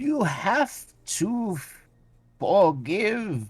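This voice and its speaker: A man puts on a creaky character voice. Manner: measured, conciliatory.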